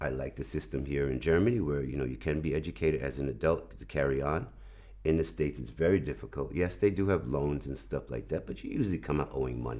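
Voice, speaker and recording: A man talks at a very fast pace in a very deep, low pitch, his intonation lively. His tone is dark and mellow, with vocal fry. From New York, Brooklyn. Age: 60s. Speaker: video editor. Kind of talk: interview. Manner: hesitant, repeats words.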